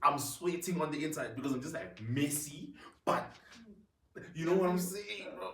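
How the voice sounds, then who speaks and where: An animated tone and lively intonation carry the speech at a moderate pace. Long, frequent pauses break it up, and room echo is audible. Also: man, fairly high pitch for a man. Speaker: podcast host. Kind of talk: casual chat.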